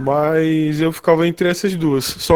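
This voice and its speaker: Over music in the background, a man with a high pitch speaks at a very slow pace with fairly even intonation. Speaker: freelance designer. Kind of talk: casual chat. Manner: pauses often.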